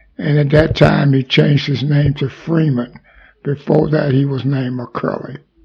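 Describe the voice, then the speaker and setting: A man with a Mississippi accent talks at a moderate pace in a fairly high voice. His intonation stays monotone and flat. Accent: Southern US (Mississippi). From US South, Mississippi. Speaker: army veteran. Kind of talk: oral history interview.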